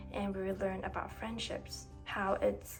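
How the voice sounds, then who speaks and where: A woman speaks at a moderate pace with music in the background. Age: 20s. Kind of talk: personal reflective narration. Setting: background noise.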